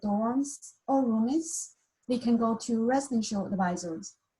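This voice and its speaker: A woman's fairly high voice with a dark, mellow tone and a Mandarin accent, at a fairly slow pace and with ordinary pitch variation. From China. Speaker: university staff member. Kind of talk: welcome presentation.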